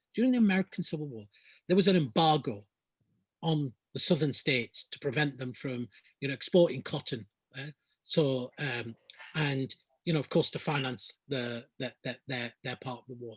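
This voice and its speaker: Somewhat breathy, a man with a fairly high pitch speaks at a moderate pace with ordinary pitch variation and long, frequent pauses. The sound is dry and close with no echo. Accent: Lancashire. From Lancashire, northern England. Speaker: climate justice activist. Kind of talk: Q&A answers in an online talk. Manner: halting, many repetitions.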